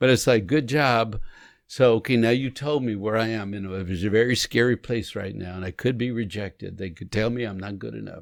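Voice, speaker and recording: On a very clean recording with a silent background, a man speaks fairly quickly at a medium pitch with ordinary pitch variation. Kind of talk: conversational podcast discussion. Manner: animated.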